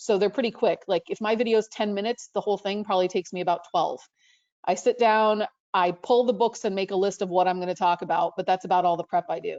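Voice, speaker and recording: A woman talks at a very fast pace with a medium pitch and fairly even intonation. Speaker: librarian. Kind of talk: panel talk. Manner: casual, self-correcting.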